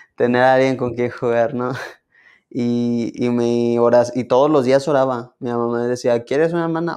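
The man speaks at a moderate pace, and the background is quiet. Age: young. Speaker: guest sharing a faith story. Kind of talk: interview answer. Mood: warm, smiling, a bit shy. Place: studio.

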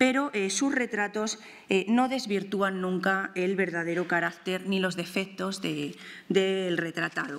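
At a fairly slow pace, a woman speaks at a medium pitch with ordinary pitch variation. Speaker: art historian and museum researcher; art researcher lecturer. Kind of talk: lecture. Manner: hesitant with fillers and repetitions. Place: hall. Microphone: podium.

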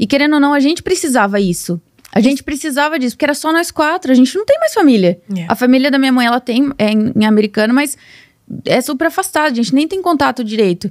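Against a quiet background, a high-pitched woman talks very fast with very wide pitch swings in a dry sound with no echo. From Brazil, São Paulo state (Nova Odessa); São Paulo state, Brazil. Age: 20s. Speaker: social media marketer and mentor; podcast guest. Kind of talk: casual interview chat. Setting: studio. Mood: reflective, personal storytelling. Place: studio. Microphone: studio mic.

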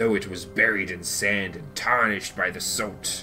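A man speaks in a put-on character voice with a fairly low pitch. Clear music plays in the background. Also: moderate pace. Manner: put-on, mocking.

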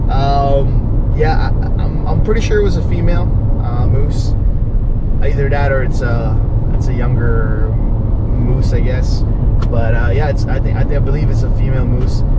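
A man speaks at a moderate pace. Loud background noise runs underneath. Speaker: travel vlogger driving. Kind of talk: casual vlog chat. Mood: relaxed, pleased. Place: car. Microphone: camera far.

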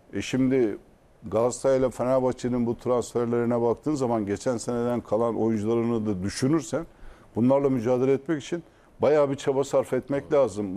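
At a fairly quick pace, a man speaks in a dark, mellow tone at medium pitch with ordinary pitch variation. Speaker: football pundit. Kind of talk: casual chat.

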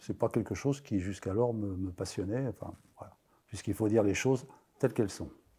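A man talks at a very fast pace with a fairly low pitch. His tone is dark, mellow and somewhat breathy, with fairly even intonation. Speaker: comic book writer and history-geography teacher; comic book writer. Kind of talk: interview; interview answer. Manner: halting, many hesitations. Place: studio. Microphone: lapel.

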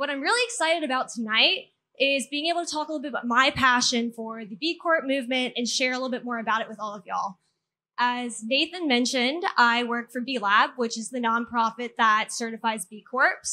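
The voice has a bright, sharp tone, ordinary pitch variation, big swings in loudness and a fairly quick pace. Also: woman, high pitch for a woman. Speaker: speaker. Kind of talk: public talk. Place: garden. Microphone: handheld.

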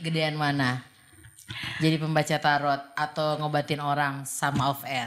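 Against light background noise, a woman with a very deep, low pitch speaks in a monotone, flat way at a moderate pace. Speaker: radio host. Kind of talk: casual interview chat. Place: studio. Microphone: studio mic.

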